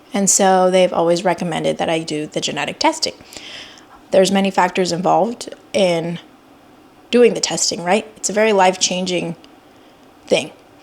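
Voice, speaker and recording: Against noticeable background noise, a woman with a medium pitch talks at a moderate pace with ordinary pitch variation and long, frequent pauses. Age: 30s. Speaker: vlogger and pediatric oncology nurse. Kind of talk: personal vlog. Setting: self-filmed on camera. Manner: unscripted, conversational with fillers.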